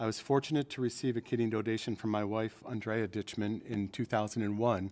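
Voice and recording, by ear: Fairly low in pitch, a man speaks at a moderate pace with little pitch movement. The tone is slightly mellow.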